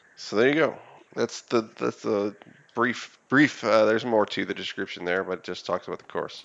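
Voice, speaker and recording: A man speaks with medium pitch and ordinary pitch variation, keeping a moderate pace. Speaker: game streamer and show host. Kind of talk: casual chat during live game stream. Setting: live online stream. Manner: loud.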